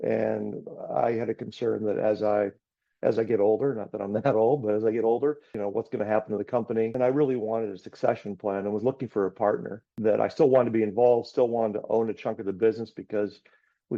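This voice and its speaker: A man with a medium-pitched voice speaks at a very fast pace, his intonation fairly even. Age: 60s. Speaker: business owner. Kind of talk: webinar panel discussion.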